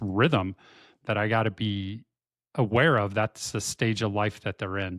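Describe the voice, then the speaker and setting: The recording is very clean, with a silent background and a dry, close sound with no echo. A man with an ordinary speaking voice talks at a fairly low pitch with fairly even intonation. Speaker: podcast co-host. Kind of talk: casual chat.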